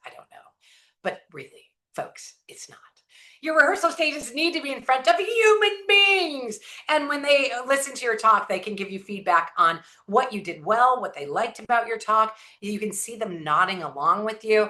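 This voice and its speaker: With an American accent, a woman speaks at a moderate pace and a fairly high pitch, using very wide pitch swings and big swings in loudness. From Southern California. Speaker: inspirational speaker. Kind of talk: motivational talk. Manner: high-energy.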